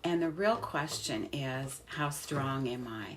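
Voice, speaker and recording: Lively intonation amid audible room echo. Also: woman. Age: 70s. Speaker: health educator. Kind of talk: educational talk to camera.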